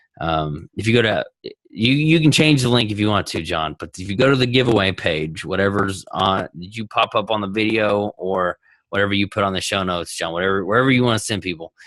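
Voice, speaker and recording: Against a quiet background, a man talks at a fairly quick pace with a fairly low pitch, an animated tone, and ordinary pitch variation, the sound dry and close with no echo. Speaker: entrepreneur. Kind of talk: interview. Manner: animated, halting restarts.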